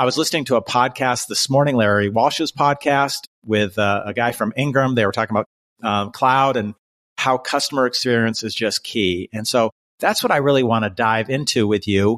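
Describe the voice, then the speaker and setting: On a very clean recording with a silent background and a dry, close sound with no echo, a man uses an unremarkable speaking voice of medium pitch, with ordinary pitch variation at a moderate pace. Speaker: podcast host. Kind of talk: interview.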